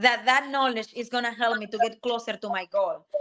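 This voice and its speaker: A woman's high, bright, sharp voice with a Spanish accent, fairly quick, with ordinary pitch variation. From Dominican Republic. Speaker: technical program manager and career coach. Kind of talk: podcast interview.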